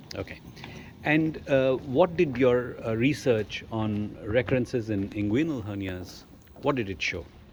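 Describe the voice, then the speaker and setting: Lively in intonation, a man speaks at medium pitch. He talks at a fairly slow pace over noticeable background noise. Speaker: surgeon, interviewer. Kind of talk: interview questions.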